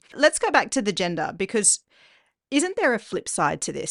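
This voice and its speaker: A woman with an Australian accent speaks with very wide pitch swings. The sound is dry and close with no echo, over a quiet background. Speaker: podcast host, journalist. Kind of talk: interview.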